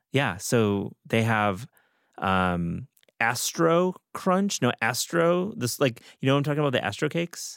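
Very wide pitch swings at a fairly slow pace, in a dry, close sound with no echo and a very clean recording over a silent background. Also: man, medium pitch for a man. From US Midwest, Michigan. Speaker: podcast host. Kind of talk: casual chat.

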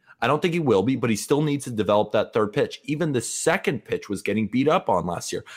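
Speaking very fast with hardly any pauses, a man with an American accent uses lively intonation at a fairly high pitch. The recording is very clean, with a silent background. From California, Santa Barbara. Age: 20s. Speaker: baseball writer and podcaster. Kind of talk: casual interview.

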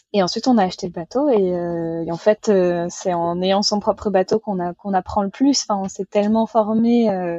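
An ordinary speaking voice from a woman, medium in pitch, with ordinary pitch variation at a moderate pace. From western France, Vendée. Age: 20s. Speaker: sailor running a library sailboat project. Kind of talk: casual interview.

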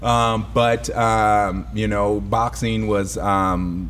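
Recorded with audible room echo, a man speaks very slowly in a very deep, low pitch. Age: 50s. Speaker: personal trainer. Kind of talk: casual chat.

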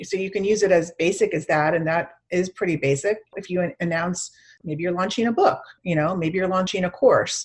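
A woman with an American accent, medium pitch, fairly even intonation, a somewhat breathy voice and a moderate pace. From Chicago suburbs and Miami. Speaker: PR agency founder. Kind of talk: interview.

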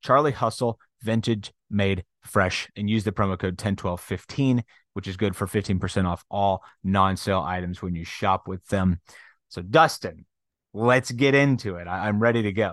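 An ordinary speaking voice from a man, fairly low in pitch, at a moderate pace with ordinary pitch variation, the sound dry and close with no echo against a quiet background. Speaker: sports podcast host. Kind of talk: casual chat.

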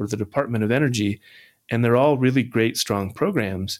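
A man with an American accent uses an ordinary speaking voice at medium pitch, moderate pace and ordinary pitch variation, on a very clean recording with a silent background. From US Midwest, southwest Kansas. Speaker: economic development strategist. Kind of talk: interview conversation. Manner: frequent fillers and repetitions.

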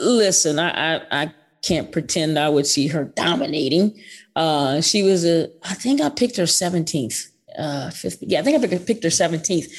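Lively in intonation, a woman with a normal speaking voice talks at a moderate pace and fairly low pitch on a very clean recording with a silent background. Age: 50s. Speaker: basketball coach. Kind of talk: interview.

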